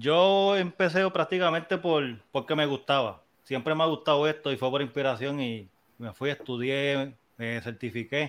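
A man speaks with an unremarkable speaking voice at a fairly high pitch. His pace is moderate, with ordinary pitch variation. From Puerto Rico, Las Piedras. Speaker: music producer and DJ. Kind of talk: casual chat.

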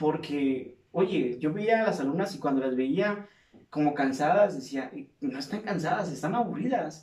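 A man's normal speaking voice, fairly high in pitch, with lively intonation at a fairly slow pace. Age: 50s. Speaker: podcast host, clinical psychologist and fitness instructor. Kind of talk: casual interview chat.

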